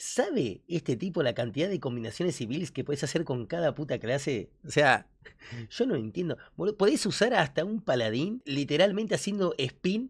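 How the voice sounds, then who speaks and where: A man at a moderate pace with very wide pitch swings, against a quiet background. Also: fairly high pitch for a man. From Argentina. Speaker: gaming youtuber. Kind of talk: reaction video commentary. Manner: animated. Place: home room. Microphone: studio mic.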